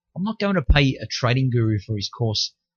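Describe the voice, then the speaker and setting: A man's somewhat breathy, medium-pitched voice with an Australian accent at a fairly quick pace. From Australia, Melbourne. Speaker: futures trader selling a course. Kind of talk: sales pitch. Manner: direct, conversational.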